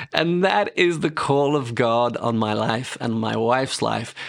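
Pitched at a medium level, a man's voice moves at a fairly slow pace. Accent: British. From England. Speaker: ministry director and author. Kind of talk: interview sharing testimony.

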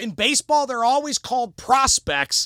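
Raised and projected, a man's voice comes through with a bright, sharp tone in an American accent. He speaks at a fairly slow pace on a very clean recording with a silent background. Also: dry, close sound with no echo. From US Midwest, Cleveland area, Ohio. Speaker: sports radio station manager and city council candidate. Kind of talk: casual interview. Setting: studio. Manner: loud; animated.

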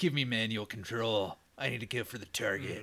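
This is a raspy, put-on character voice. It moves at a fairly quick pace. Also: man, medium pitch for a man. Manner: commanding, aggressive.

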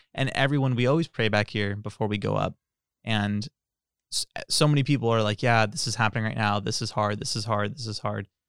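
A man with an American accent has an ordinary speaking voice, fairly low in pitch with ordinary pitch variation. He talks at a fairly quick pace on a very clean recording with a silent background. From California Central Valley. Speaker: church bassist. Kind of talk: casual chat.

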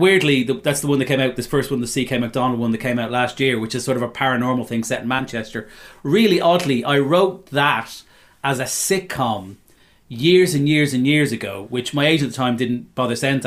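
A fairly quick pace in a Dublin accent, with ordinary pitch variation. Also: man. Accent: Irish (Dublin). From Dublin, Ireland. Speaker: novelist and former stand-up comedian. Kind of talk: casual interview chat. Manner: fast.

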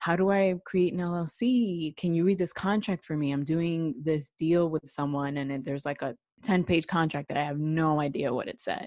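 A woman in a normal speaking voice, fairly low in pitch, at a moderate pace with ordinary pitch variation and hardly any pauses, over a quiet background. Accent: American. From New York City. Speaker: attorney. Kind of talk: interview.

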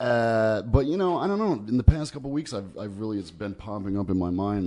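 With a dark, mellow tone and lively intonation, a man speaks at a medium pitch and a fairly slow pace. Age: 30s. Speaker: podcast host. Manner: chatty, casual.

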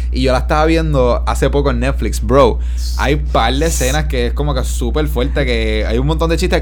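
With music in the background and audible room echo, a man with a very deep, low pitch talks at a fairly quick pace, his loudness very even. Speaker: podcast co-host. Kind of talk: casual chat.

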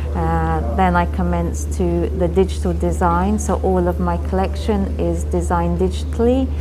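With music in the background and audible room echo, a woman with a very deep, low pitch speaks at a moderate pace with hardly any pauses. Her intonation is monotone and flat, and her loudness very even. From Indian heritage. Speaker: fashion designer. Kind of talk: interview.

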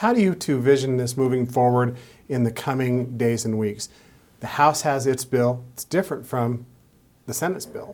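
Using a normal speaking voice, a man speaks at a moderate pace with a medium pitch and ordinary pitch variation. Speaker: TV news show host. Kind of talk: broadcast interview. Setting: studio.

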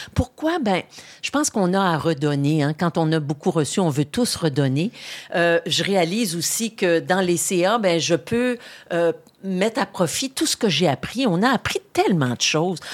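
A woman with a normal speaking voice talks at a fairly slow pace, her fairly low pitch carrying lively intonation at very even loudness. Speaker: retired politician and journalist. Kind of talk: interview. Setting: studio.

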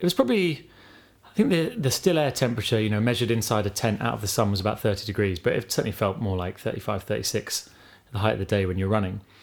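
Very fast speech with lively intonation in an English accent. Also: man, fairly low pitch for a man. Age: 30s. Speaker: podcast co-host and ultramarathon runner. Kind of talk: casual interview.

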